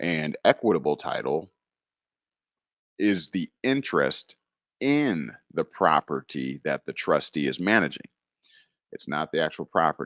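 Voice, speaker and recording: The man's pitch is very deep and low, yet it swings very widely, with vocal fry throughout. He talks at a fairly slow pace with long, frequent pauses. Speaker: livestream host answering legal questions. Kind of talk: live Q&A stream. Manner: halting, many fillers.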